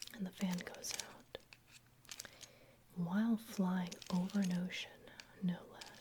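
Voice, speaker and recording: The speaker whispers in a soft-spoken, calm tone at a fairly slow pace, with long, frequent pauses. Noticeable background noise is present. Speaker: ASMR roleplay performer playing an airplane mechanic. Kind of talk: ASMR roleplay, personal attention. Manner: soft-spoken, whispered, calm.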